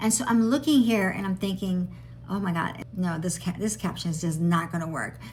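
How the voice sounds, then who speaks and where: Lively intonation marks a woman's somewhat breathy, medium-pitched voice. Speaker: AI tutorial creator. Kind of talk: casual vlog. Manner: fast.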